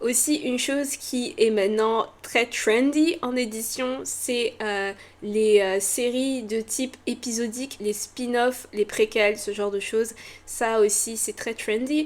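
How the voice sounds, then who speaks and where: A woman speaks at a very slow pace. Her voice is fairly high with ordinary pitch variation. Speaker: novelist and booktuber. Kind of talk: casual vlog. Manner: energetic, excited.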